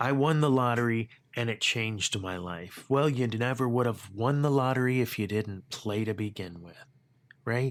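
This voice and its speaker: A man talks at a fairly slow pace. His pitch sits in the medium range, with ordinary variation. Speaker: leadership podcast host. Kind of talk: motivational podcast monologue. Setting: home studio. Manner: animated, conversational.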